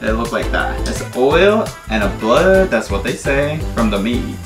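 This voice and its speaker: A man's voice with clear music in the background. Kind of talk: cooking tutorial. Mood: cheerful, laughing. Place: kitchen.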